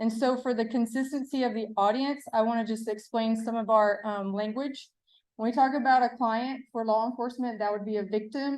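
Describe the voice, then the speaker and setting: A woman with an East Texas accent, fairly high in pitch and fairly quick in pace, against a quiet background. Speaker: adult protective services presenter. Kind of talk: conference presentation. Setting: stage with live audience. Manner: animated, engaging with audience; casual.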